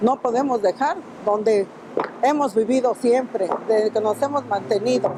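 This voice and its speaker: Music plays in the background as a woman speaks at a moderate pace. Her voice is fairly high and her loudness very even. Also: ordinary pitch variation. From Mexico City. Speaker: market vendor. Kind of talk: interview testimony. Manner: halting.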